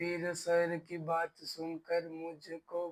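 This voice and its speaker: The man's voice sits at a high pitch with monotone, flat intonation. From Delhi, India. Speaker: stammering course student giving testimonial. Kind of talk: testimony. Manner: slow, deliberate.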